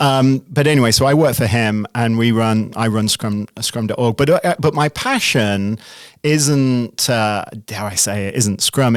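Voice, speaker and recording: A man with an American accent at medium pitch, fairly slow, with ordinary pitch variation and a dry, close sound with no echo. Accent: British accent becoming increasingly American. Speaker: CEO and product manager. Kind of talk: podcast interview. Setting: studio.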